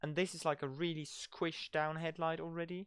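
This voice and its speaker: Heard in a very clean recording with a silent background, the speaker has a non-native accent. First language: not English. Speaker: gaming streamer. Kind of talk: casual live-stream commentary. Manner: halting, filler-heavy.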